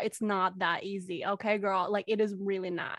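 There is a quiet background behind this woman's voice. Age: 20s. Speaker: fan event organizer. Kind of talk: casual chat. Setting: video call.

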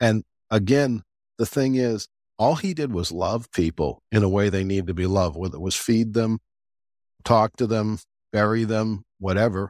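A man with a fairly low voice speaks at a moderate pace with long, frequent pauses and ordinary pitch variation, the sound dry and close with no echo on a very clean recording with a silent background. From US South. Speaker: podcast host and deacon. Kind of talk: casual interview chat.

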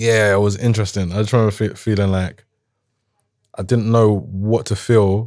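On a very clean recording with a silent background, a man with a South London accent and a fairly low pitch speaks in a monotone, flat way at a moderate pace. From London, Croydon. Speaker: rapper. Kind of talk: casual chat.

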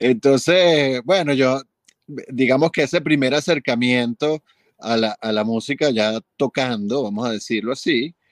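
In a normal speaking voice, a man talks at a fairly slow pace with medium pitch and ordinary pitch variation, recorded dry and close with no echo against a quiet background. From Venezuela. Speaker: film and commercial composer. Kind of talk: interview.

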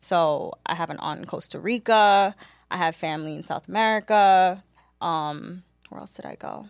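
Speaking in a New York accent, a woman with a fairly low pitch keeps a moderate pace with ordinary pitch variation and big swings in loudness, on a very clean recording with a silent background. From New York City (Queens), Caribbean household. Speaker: media marketing professional. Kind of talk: casual chat.

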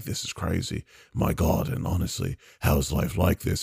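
A put-on character voice with lively intonation moves at a moderate pace. The sound is dry and close with no echo. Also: man, very deep, low pitch for a man.

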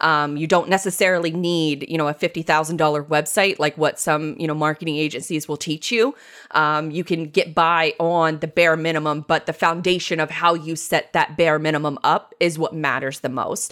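On a very clean recording with a silent background, a woman with an American accent speaks at a moderate pace in a very deep, low pitch, with fairly even intonation and hardly any pauses. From Jacksonville, Florida, US South. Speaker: web and marketing business owner. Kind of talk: interview.

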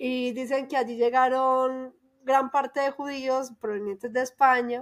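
A woman speaks in a paisa Colombian accent at a high pitch and a fairly slow pace. Her intonation is monotone and flat, and the recording is very clean with a silent background. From Colombia, Antioquia (paisa). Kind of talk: casual chat.

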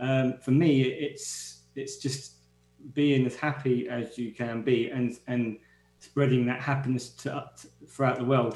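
A man speaks in a London accent. His delivery is fairly slow and monotone. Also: medium pitch for a man. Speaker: guest's partner. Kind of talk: casual chat. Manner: halting.

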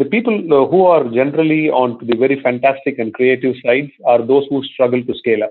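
A man with an Indian accent talks at a very fast pace with ordinary pitch variation. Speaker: corporate research executive. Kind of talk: interview.

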